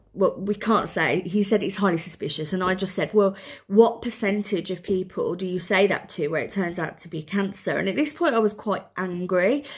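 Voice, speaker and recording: With a Birmingham accent, a woman speaks in a somewhat breathy voice at a medium pitch and moderate pace, with ordinary pitch variation. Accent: Birmingham (Brummie). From Birmingham, England. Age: 40s. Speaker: mother with breast cancer. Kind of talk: casual talk to camera, personal vlog.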